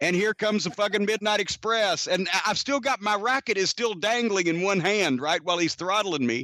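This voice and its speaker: A man speaks in a raised, projected voice at a high pitch, with a bright, sharp, animated tone and ordinary pitch variation. He keeps very even loudness and hardly any pauses, and the sound is dry and close with no echo. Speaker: pro wrestling manager and podcast host. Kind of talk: casual storytelling on a podcast. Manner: animated, fast, profane, comedic.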